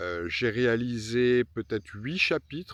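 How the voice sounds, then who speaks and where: A man is speaking. His intonation is lively. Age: 50s. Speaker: pilgrim travel vlogger. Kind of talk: travel vlog narration. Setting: outdoors. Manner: hesitant fillers.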